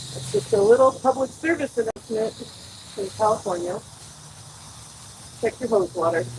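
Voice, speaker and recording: The speaker moves at a moderate pace with very wide pitch swings and long, frequent pauses, over noticeable background noise. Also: woman, fairly high pitch for a woman, big swings in loudness. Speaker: gardening vlogger. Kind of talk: casual vlog talk while gardening. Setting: outdoors in a suburban garden. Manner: loud. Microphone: microphone far away on the trellis.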